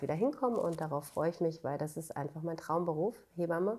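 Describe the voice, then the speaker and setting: The tone is dark and mellow. The delivery moves at a fairly quick pace. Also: woman. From northern Germany, Schleswig-Holstein (Bad Segeberg). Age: 30s. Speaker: midwife. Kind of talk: interview conversation.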